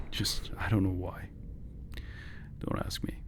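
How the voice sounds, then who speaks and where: A man with a non-native accent sounds somewhat breathy in a very clean recording with a silent background. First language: not English. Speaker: gaming YouTuber. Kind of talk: gameplay voice-over commentary. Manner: halting.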